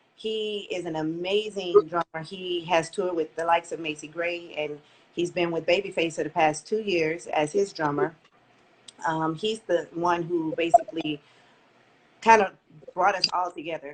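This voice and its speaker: Speaking in a plain, everyday voice with an American accent, a woman with fairly low pitch talks at a moderate pace and with fairly even intonation. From Texas, Port Arthur. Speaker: lead singer of a funk band. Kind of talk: radio interview.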